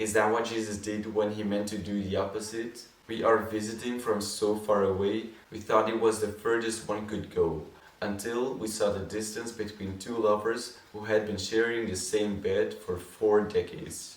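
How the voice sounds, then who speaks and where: A man's fairly low, monotone, flat voice at a moderate pace, over noticeable background noise. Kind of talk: poetry reading.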